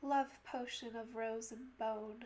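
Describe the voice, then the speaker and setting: A soft-spoken woman talks at a very slow pace. Her pitch is fairly high, with ordinary pitch variation. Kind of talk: poetry reading.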